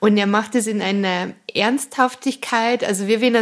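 At a fairly slow pace, a woman with a Bavarian accent speaks with a fairly high pitch and fairly even intonation. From Munich suburb Aubing, Bavaria. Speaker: cabaret artist. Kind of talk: interview.

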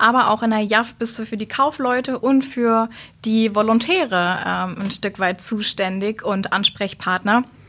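Her voice is bright and sharp in tone, set at a fairly high pitch for a woman. She moves at a fairly slow pace with ordinary pitch variation. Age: 20s. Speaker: works council member, former youth trainee representative. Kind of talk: casual interview.

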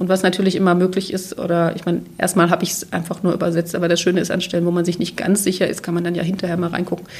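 Her pitch is fairly low and her delivery very fast and somewhat breathy. This woman's intonation stays monotone and flat. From former East Germany. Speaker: literary translator. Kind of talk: interview.

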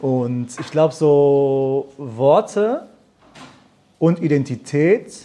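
A man talks with a fairly high pitch and a dark, mellow tone. His pitch varies in an ordinary way. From Germany. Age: 20s. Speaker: musician and videographer. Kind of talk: live panel discussion. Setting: stage with audience.

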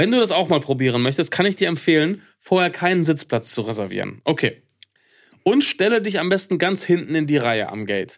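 Vocal fry runs through a man's fairly high voice as he speaks at a fairly quick pace with very wide pitch swings. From Ruhr area, Germany (Hattingen), later eastern Westphalia. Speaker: podcast co-host. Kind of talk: casual chat.

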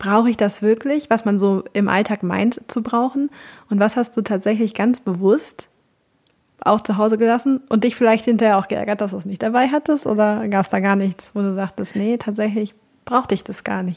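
A plain, everyday voice keeps fairly even intonation and talks at a moderate pace. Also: woman, fairly high pitch for a woman. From Cologne, western Germany. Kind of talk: interview.

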